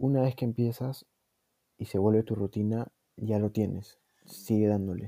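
A man with a Peruvian accent speaks at a moderate pace, with fairly low pitch and a dark, mellow tone. His intonation is monotone and flat, with long, frequent pauses, and the sound is dry and close with no echo. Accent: Peruvian Spanish (Lima). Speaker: podcast host. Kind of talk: casual chat.

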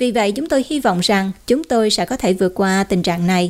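A woman talks at a fairly quick pace with lively intonation in a normal speaking voice, on a very clean recording with a silent background. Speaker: news anchor. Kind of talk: news reading.

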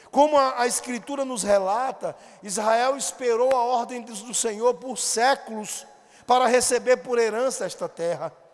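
A man with a Brazilian accent speaks at an extremely high pitch and a fairly slow pace. His loudness swings widely against noticeable background noise. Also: ordinary pitch variation. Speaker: pastor. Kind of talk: sermon. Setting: church. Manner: formal, expository, didactic; earnest, pastoral, exhorting.

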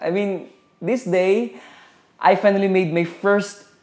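A man with a Filipino accent. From Philippines, Zamboanga City. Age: 20s. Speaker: podcaster. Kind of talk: podcast intro monologue.

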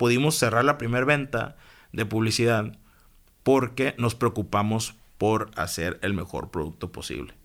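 Speaking at a fairly slow pace, a man of medium pitch shows vocal fry and ordinary pitch variation in a very clean recording with a silent background. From Mexico, Hermosillo, Sonora. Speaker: entrepreneur. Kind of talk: interview conversation. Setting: studio.

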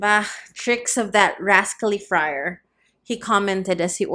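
Quiet surroundings and a natural reading voice.

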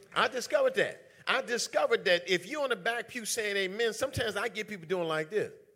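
A man's high, bright, sharp voice, raised and projected, animated in tone with ordinary pitch variation, racing at a very fast pace with hardly any pauses. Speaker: preacher. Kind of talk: sermon to a live church congregation. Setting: church. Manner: animated, call-and-response preaching, emphatic repetition.

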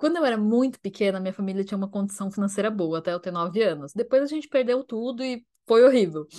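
Against a quiet background, a woman with an ordinary speaking voice talks at a fairly quick pace with lively intonation. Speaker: podcast co-host. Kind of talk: casual chat. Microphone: new microphone.

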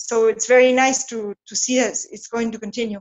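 A woman with a Spanish accent at a fairly high pitch and moderate pace. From Argentina, Patagonia. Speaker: whisky distiller. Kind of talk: interview. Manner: halting, with repetitions.

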